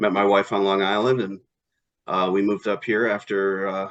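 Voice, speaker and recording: Against a quiet background, a man with an upstate New York accent speaks at a moderate pace and a fairly low pitch. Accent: upstate New York American. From upstate New York (Elmira). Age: 40s. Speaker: town board candidate. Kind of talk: interview. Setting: video call.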